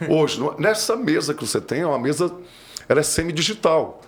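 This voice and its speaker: A fairly quick man's voice, fairly high in pitch, with vocal fry. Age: 60s. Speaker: audio engineer. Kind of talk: interview conversation.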